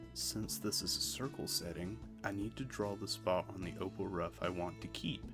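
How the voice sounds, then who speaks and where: Over background music, a soft-spoken man with a very deep, low pitch talks at a moderate pace in a calm tone, his pitch swinging very widely. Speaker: lapidary hobbyist / gem cutter. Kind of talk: relaxing instructional narration. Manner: soft-spoken, calm.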